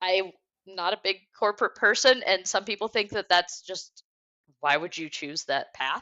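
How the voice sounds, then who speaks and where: In an American accent, a woman speaks at a fairly slow pace. She has a plain, everyday voice. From Detroit area, Michigan, US. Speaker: sales engineer. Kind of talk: interview podcast conversation.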